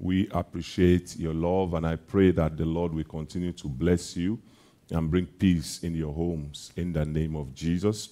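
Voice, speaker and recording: A man speaks at a moderate pace with very deep, low pitch. His tone is dark and mellow, and his intonation fairly even. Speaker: preacher. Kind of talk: sermon. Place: church. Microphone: headset.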